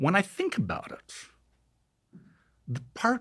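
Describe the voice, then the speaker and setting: With vocal fry, a man speaks at a fairly slow pace. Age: 60s. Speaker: neuroscientist. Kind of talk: interview.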